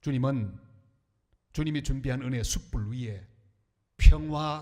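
Somewhat breathy male voice, medium in pitch, with a dark, mellow tone and fairly slow pace. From Korea, northern Gyeongbuk (Andong). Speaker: pastor. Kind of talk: sermon. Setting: church.

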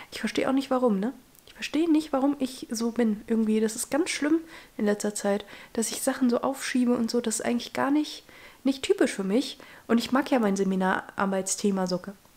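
This woman talks at a fairly quick pace with a high pitch and ordinary pitch variation. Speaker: vlogger, law student. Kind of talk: casual vlog. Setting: at home, desk. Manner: casual, chatty, English mixed in.

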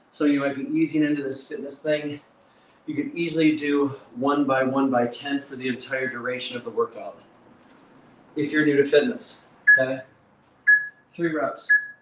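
Loud background noise surrounds a man speaking at a moderate pace with long, frequent pauses. His voice is fairly high, with fairly even intonation. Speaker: fitness coach. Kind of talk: live workout instruction. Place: gym.

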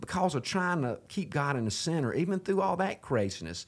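A man speaks at a moderate pace in a Southern US accent. His pitch swings very widely. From US South. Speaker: podcast host. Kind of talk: casual faith-based interview chat. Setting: studio. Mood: earnest, reflective. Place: home room. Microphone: studio mic.

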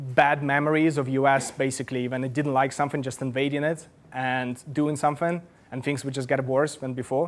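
At a fairly quick pace, a man talks in a fairly high pitch. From Russia. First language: Russian. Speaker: journalist. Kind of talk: lecture. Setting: stage with audience. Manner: halting.

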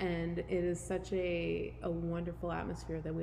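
There is audible room echo around a woman's voice. She speaks at a moderate pace. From Canada. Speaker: gym member sharing weight loss story. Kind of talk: casual interview.

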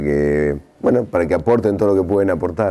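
With a dark, mellow tone, a man speaks at a fairly quick pace and ordinary pitch variation.

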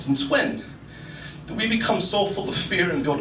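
A man talks at a fairly high pitch with big pitch swings and a moderate pace. Room echo is audible.

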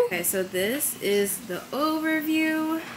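A woman speaks with an American accent and very wide pitch swings. Noticeable background noise runs behind her. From New York City, Staten Island; New York City. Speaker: lifestyle vlogger. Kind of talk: vlog narration. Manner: casual, chatty.

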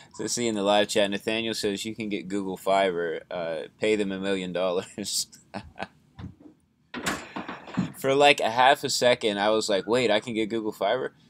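Over noticeable background noise, a man with a fairly low pitch talks at a moderate pace, using ordinary pitch variation and long, frequent pauses. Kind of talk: casual live stream chat. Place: home room. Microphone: webcam.

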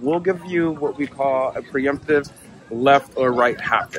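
Music plays behind a man whose voice sounds dry, with no echo. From United States. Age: 40s. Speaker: tech company cofounder. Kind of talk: product demo narration. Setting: outdoors. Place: open country.

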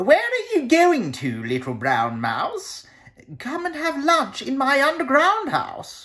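At a fairly slow pace, a man talks. He uses a put-on character voice pitched extremely high. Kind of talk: children's picture-book reading. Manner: sly, coaxing, then scared.

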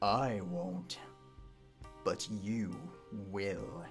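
A man puts on a character voice with a very deep, low pitch. Clear music plays in the background. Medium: dub. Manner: cold, menacing.

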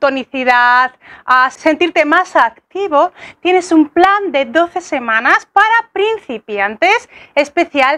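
A woman's raised, projected voice with a bright, sharp tone, fairly slow pace and lively intonation against a quiet background. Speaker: fitness coach. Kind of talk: casual vlog chat. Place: garden. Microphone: lapel.

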